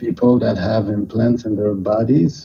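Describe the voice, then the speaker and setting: A man with a Quebec accent, medium pitch, fairly even intonation and a fairly slow pace. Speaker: caller. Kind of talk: call-in to livestream. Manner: halting. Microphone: hears own echo.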